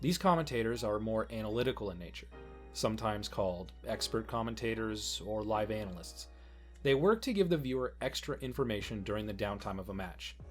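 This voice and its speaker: The talking runs at a fairly quick pace. Behind it, music can be heard. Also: man. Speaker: guest narrator. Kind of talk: educational narration.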